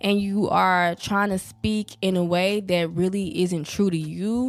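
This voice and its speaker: A woman with a Southern US accent at a medium pitch. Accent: southern US, country. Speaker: podcast host. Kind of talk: casual podcast monologue. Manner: casual, conversational.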